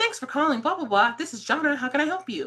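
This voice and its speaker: At a very fast pace, a female-sounding voice uses a high-pitched put-on character voice. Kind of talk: polite, scripted customer service greeting.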